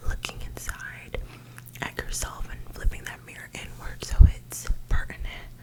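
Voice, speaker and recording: Whispering woman at a moderate pace, with noticeable background noise. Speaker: ASMR creator. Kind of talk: ASMR self-love ramble to camera. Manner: gentle.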